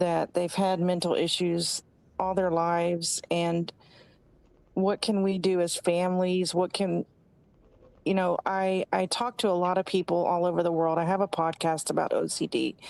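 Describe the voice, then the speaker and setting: A woman speaks in a flat monotone at very even loudness, the sound dry and close with no echo. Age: 60s. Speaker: caller. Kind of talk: call-in question. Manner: halting.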